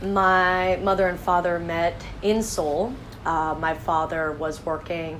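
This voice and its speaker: Her voice is very deep and low, and she speaks at a fairly slow pace. The woman is heard with audible room echo. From western US (Montana, Utah, California). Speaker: project founder. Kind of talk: interview answers, self-read questions.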